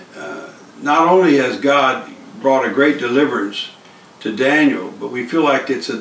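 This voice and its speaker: Room echo is audible as a man speaks fairly slowly with ordinary pitch variation. Light background noise is present. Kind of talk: testimony talk. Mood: earnest, grateful. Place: home room. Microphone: camera far.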